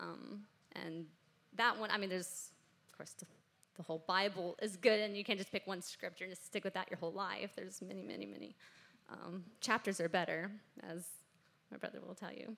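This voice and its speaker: At a fairly quick pace yet with long, frequent pauses, a woman speaks at a medium pitch in a bright, sharp tone with vocal fry, fairly even intonation and big swings in loudness. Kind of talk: interview. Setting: stage with audience.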